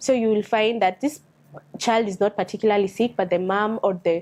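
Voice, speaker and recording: A woman with a Kenyan accent speaks at a medium pitch and a moderate pace, with fairly even intonation over a quiet background. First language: a Kenyan language. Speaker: doctor. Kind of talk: reading aloud with commentary. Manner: halting.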